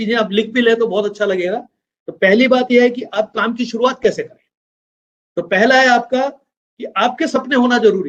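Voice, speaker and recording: A man's extremely high voice moves at a moderate pace with ordinary pitch variation and big swings in loudness. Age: 60s. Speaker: business trainer. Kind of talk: training talk.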